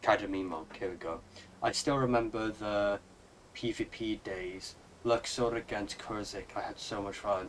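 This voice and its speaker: A man speaks with a Welsh accent at a fairly low pitch. His intonation is fairly even and his pace moderate. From Wales. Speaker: gaming streamer. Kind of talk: live gameplay stream chat. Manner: casual, halting with fillers.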